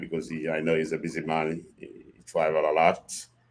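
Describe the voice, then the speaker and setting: A man speaks with a Haitian accent. His pitch is very deep and low, and his pace is moderate. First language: Haitian Creole or French. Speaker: podcast guest, host's father. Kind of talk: casual chat. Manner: halting.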